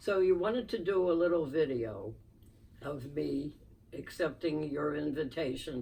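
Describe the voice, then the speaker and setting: Speaking with a Philadelphia accent, a woman with a very deep, low voice and a dark, mellow tone talks at a fairly slow pace with lively intonation. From Philadelphia, US. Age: 90s. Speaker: podcast guest, host's mother. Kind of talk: interview storytelling.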